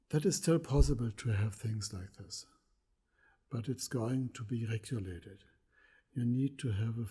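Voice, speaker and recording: A man's somewhat breathy voice of medium pitch with a dark, mellow tone. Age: 70s. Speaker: pigment maker. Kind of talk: lecture.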